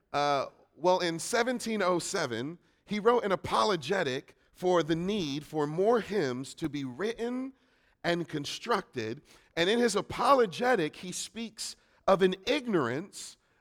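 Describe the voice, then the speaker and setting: Loud and high-pitched, a man talks at a fairly slow pace. His pitch swings very widely. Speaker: preacher. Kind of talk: sermon. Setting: church.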